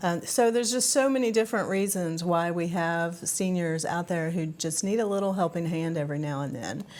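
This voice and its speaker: A woman with an American accent and a normal speaking voice talks at a fairly quick pace in a fairly low pitch, with ordinary pitch variation and hardly any pauses. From West Virginia, South Charleston. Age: 60s. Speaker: nonprofit executive director. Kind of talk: TV interview.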